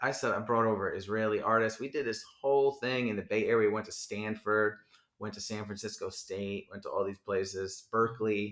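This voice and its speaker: With a New Jersey accent, a man speaks at a moderate pace and a fairly low pitch. His intonation is monotone and flat. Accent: New Jersey American. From Edison, New Jersey. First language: Hebrew. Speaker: rapper. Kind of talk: casual chat. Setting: home in Brooklyn.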